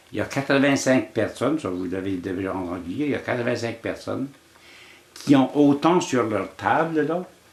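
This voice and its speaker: Lively intonation marks a man's speech at medium pitch and a fairly slow pace. Noticeable background noise runs underneath. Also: long, frequent pauses. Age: 80s+. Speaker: elder sharing life lessons. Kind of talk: storytelling interview. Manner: halting, with frequent repetitions.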